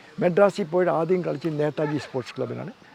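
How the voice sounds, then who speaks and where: Pitched fairly high, a man talks with ordinary pitch variation against noticeable background noise. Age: 80s+. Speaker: football coach. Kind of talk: interview answer.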